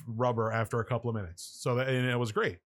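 A man with an ordinary speaking voice and a medium pitch talks at a fairly quick pace. The recording is very clean, with a silent background. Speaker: guest, horror effects artist. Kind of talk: casual chat.

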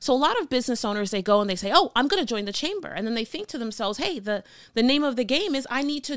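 Speaking at a very fast pace in an American accent, a woman uses an animated tone, lively intonation and a high pitch on a very clean recording with a silent background. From Miami, Florida. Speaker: business coach. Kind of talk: motivational solo talk.

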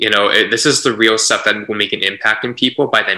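A man with a Canadian accent. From Canada, Vancouver. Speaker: podcast host. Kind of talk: casual chat.

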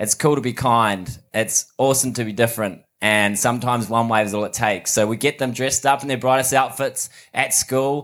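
A man with a New Zealand accent speaks at a medium pitch and a fairly quick pace. His intonation is fairly even, and the recording is very clean with a silent background. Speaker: mental health charity founder. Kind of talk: talk to a live audience. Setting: outdoors in front of a live audience.

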